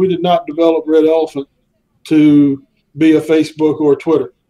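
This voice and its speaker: With a Southern US accent, this man speaks fairly quickly in a dark, mellow tone, his fairly high pitch held to fairly even intonation. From US South. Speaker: social network founder. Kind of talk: interview. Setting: live stream. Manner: halting, many fillers.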